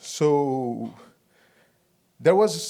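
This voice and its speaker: A man with a Brazilian Portuguese accent, fairly high in pitch, dark and mellow in tone, with lively intonation. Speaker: 3D artist and director. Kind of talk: conference talk. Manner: halting.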